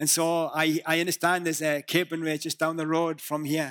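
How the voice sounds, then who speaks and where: A man with a northern English accent at a fairly high pitch and moderate pace, in a very clean recording with a silent background and a dry, close sound with no echo. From northeast England. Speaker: visiting preacher. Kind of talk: sermon. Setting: church.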